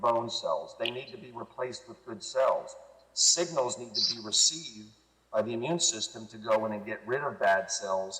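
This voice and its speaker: A man talks at a moderate speed while noticeable noise fills the background. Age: 60s. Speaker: product promoter guest. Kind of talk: interview.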